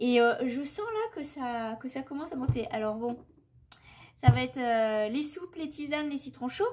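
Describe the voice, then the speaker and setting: With a high pitch, a woman speaks at a moderate pace. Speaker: vlogger. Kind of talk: casual vlog. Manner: hesitant, many fillers.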